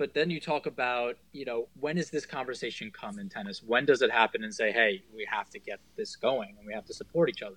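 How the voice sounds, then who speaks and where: A man speaks in an ordinary speaking voice at a medium pitch, fairly quickly and with hardly any pauses, his intonation lively and his loudness swinging widely. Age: 20s. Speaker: tennis player and podcast co-host. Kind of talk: casual interview chat.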